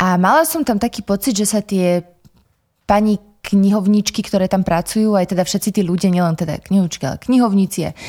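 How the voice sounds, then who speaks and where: A woman talks at a fairly quick pace in a dark, mellow, medium-pitched voice with ordinary pitch variation and a dry, close sound with no echo. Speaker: podcast host, library. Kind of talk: interview, conversational. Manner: formal, polite.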